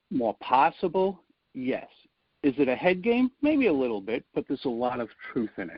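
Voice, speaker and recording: The speaker has a Rhode Island accent. The pace is moderate, with ordinary pitch variation. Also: man. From US Northeast, Rhode Island (Providence). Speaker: public speaking coach. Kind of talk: podcast interview.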